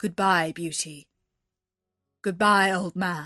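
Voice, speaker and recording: Against a quiet background, a woman puts on a gruff character voice at medium pitch and a very slow pace. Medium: read story. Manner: formal, courteous.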